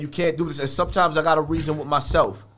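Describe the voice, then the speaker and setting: A man is talking. He has a New York accent. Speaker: internet commentator. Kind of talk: casual chat. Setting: studio. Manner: animated.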